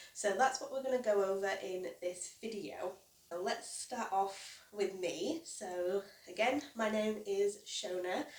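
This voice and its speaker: The speaker talks with a British accent at a fairly slow pace. Pitch variation is ordinary. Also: woman, medium pitch for a woman. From UK. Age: 20s. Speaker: crochet YouTuber and small business owner. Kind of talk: casual vlog introduction. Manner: casual, with fillers.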